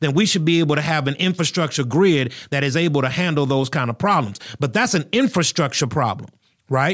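In a very clean recording with a silent background, a man with a normal speaking voice talks at a fairly quick pace with lively intonation. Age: 40s. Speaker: pastor and podcast host. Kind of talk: solo podcast commentary. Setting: studio.

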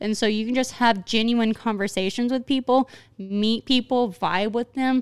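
Recorded very cleanly with a silent background and a dry, close sound with no echo, a woman with a Southern US accent speaks at a moderate pace and fairly high pitch, her intonation fairly even and her loudness very even. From Arkansas. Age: 20s. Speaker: podcast host. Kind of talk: casual chat.

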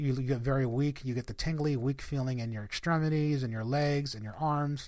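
A man speaks at a medium pitch, varying it in an ordinary way. The background is silent and the recording very clean. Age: 40s. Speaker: life coach and podcast host. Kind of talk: personal story monologue. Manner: halting.

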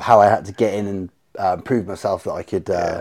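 Fairly low in pitch and fairly even in intonation, a man speaks on a very clean recording with a silent background. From Cornwall, England (St Ives). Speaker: soap business owner and MMA fighter. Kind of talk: casual chat.

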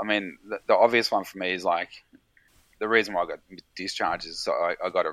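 Here a man speaks with an Australian accent. The sound is dry and close, with no echo. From Victoria, Australia (South Gippsland, rural). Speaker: emergency doctor and military veteran. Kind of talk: casual chat.

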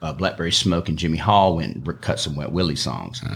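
A man's very deep, low voice in an Alabama accent, with ordinary pitch variation. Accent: Southern US (Alabama). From US South, eastern Alabama (Opelika area). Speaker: singer-songwriter. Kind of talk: casual chat.

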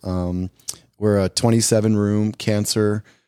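In a very clean recording with a silent background, a man with an American accent speaks at a fairly low pitch. His tone is dark and mellow, and the sound is dry and close with no echo. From New York area. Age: 50s. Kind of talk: casual chat.

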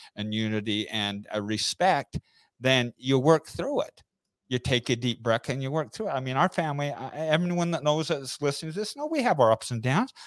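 Recorded very cleanly against a silent background, with a dry, close sound and no echo, a normal speaking voice moves at a fairly quick pace. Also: man. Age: 50s. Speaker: entrepreneur. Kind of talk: interview. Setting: live stream.

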